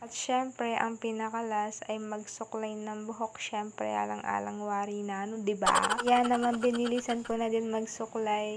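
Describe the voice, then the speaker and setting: A soft-spoken woman with fairly high pitch, monotone and flat, at a moderate pace with hardly any pauses, over noticeable background noise. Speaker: student vlogger. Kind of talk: vlog narration.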